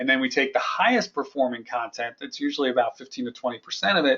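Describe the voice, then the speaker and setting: A man speaks with a medium-pitched voice. His intonation stays fairly even. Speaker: marketing company founder. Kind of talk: webinar presentation. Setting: online webinar. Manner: fast.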